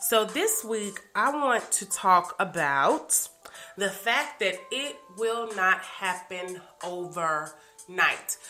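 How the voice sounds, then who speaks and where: A woman's medium-pitched voice with lively intonation over music in the background. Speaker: life coach. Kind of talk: motivational podcast talk. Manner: hesitant with fillers.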